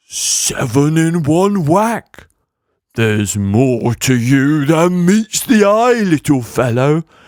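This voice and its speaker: A put-on character voice moves at a very slow pace. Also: man, fairly high pitch for a man. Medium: read story.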